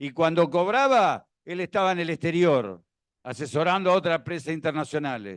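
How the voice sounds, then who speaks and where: A man speaks with an Argentine accent at a high pitch. His pace is fairly quick. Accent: Rioplatense Argentine Spanish. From Argentina, La Plata. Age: 60s. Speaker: former tax official speaking at a seminar. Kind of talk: seminar talk with anecdotes.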